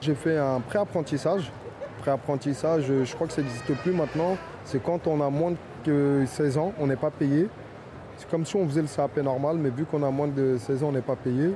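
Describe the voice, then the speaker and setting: A man with a fairly high pitch speaks in fairly even intonation over noticeable background noise. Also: moderate pace. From Paris suburbs, Fontenay-sous-Bois (Val-de-Marne). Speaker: pastry chef. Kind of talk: interview. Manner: hesitant, repetitive.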